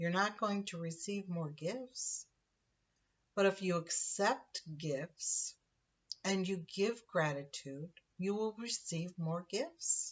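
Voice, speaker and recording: A woman of medium pitch talks at a very slow pace, somewhat breathy, with ordinary pitch variation. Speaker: spiritual teacher. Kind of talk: spiritual monologue. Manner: halting.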